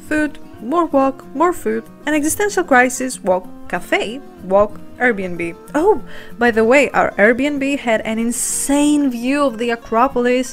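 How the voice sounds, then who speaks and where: Music plays in the background as a woman with a high pitch and lively intonation speaks at a very slow pace. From Greece. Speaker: lifestyle vlogger. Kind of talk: vlog voiceover narration.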